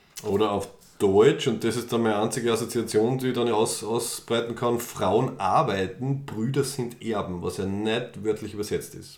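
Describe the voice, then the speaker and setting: A man's fairly even intonation with hardly any pauses, plus audible room echo. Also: medium pitch for a man, moderate pace. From Austria, Styria. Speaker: podcast co-host. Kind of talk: casual chat. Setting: studio, face to face.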